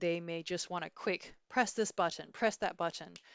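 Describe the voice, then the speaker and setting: At a moderate pace, the woman talks with ordinary pitch variation. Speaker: corporate software trainer. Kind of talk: tutorial. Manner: upbeat.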